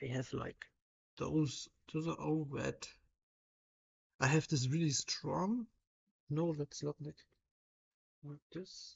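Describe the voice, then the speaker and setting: Very slow and broken by long, frequent pauses, a woman speaks with a German accent in a very deep, low pitch, somewhat breathy, with ordinary pitch variation. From Germany. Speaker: livestreamer. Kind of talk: casual live stream chat while drawing. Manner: halting.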